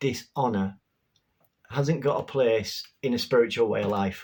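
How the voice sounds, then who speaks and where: A man speaks with a Yorkshire accent. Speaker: spirituality vlogger. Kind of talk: casual talk to camera. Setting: home bedroom.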